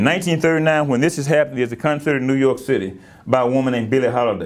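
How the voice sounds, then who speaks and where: A man talks at a very fast pace with an American accent. His pitch varies in an ordinary way. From US South. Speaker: history professor; guest lecturer. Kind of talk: lecture. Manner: halting, many repeated words. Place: hall. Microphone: lapel.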